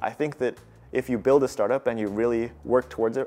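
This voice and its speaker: A man in an American accent rushes along at a very fast pace with ordinary pitch variation. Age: 20s. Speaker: startup founder and CEO. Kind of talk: interview testimony. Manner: casual with frequent fillers and restarts.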